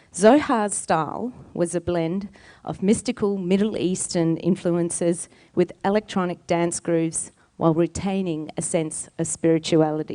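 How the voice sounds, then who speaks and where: A woman in an Australian accent, fairly low in pitch with a dark, mellow tone, fairly slow and fairly even in intonation, over a quiet background. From Australia, Palestinian heritage. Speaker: singer and storyteller. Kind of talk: storytelling performance.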